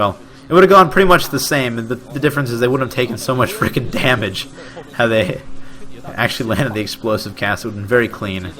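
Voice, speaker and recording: A man speaks very fast at a medium pitch, with noticeable background noise behind him. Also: lively intonation. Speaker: amateur esports caster. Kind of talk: live commentary. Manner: stumbling over words.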